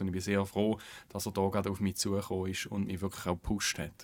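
A man talks with a fairly low pitch. The recording is very clean, with a silent background. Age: 30s. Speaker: politician, national parliamentarian. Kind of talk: podcast interview.

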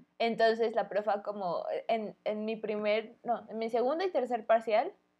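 A woman speaks in a normal speaking voice, pitched fairly high. Her pitch varies an ordinary amount. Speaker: podcast co-host. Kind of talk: casual chat. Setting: home recording, street vendors pass by.

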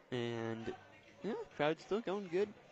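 Relaxed in tone, a man speaks at a fairly slow pace. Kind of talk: live baseball commentary. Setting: ballpark broadcast. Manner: play-by-play, conversational, relaxed with occasional laughs.

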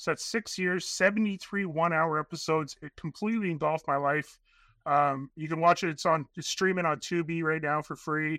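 A man with a Canadian accent speaks at a moderate pace and a high pitch. His tone is bright and sharp, and the sound is dry and close with no echo. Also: very clean recording, silent background. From Northern Canada. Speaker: airline manager and documentary filmmaker. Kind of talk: casual interview. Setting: at his workplace. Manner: halting, many fillers.

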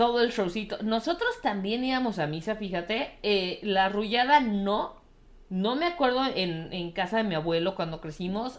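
A woman's medium-pitched voice in a Mexican accent, animated in tone, with lively intonation and a moderate pace. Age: 30s. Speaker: podcast co-host. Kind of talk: casual chat.

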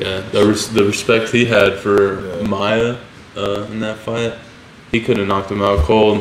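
Through noticeable background noise, a man speaks slowly-ish at a fairly low pitch in a monotone, flat intonation. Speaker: fighter and podcast host. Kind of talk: casual chat over beers. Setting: recording in Florida, drinking beers. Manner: casual, profane.

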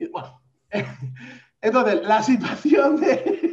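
A man speaks in an animated tone with very wide pitch swings. Audible room echo surrounds his voice. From Valencia, Spain. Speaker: podcast co-host. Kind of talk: casual chat.

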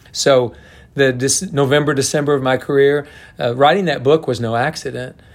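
This man has a plain, everyday voice and an American accent. He talks at a moderate pace with a fairly high pitch and ordinary pitch variation. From Oklahoma. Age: 60s. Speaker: college golf coach. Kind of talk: interview.

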